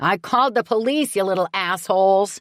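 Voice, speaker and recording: A bellowing, female-sounding put-on character voice at a moderate pace, on a very clean recording with a silent background. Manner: bellowing, furious.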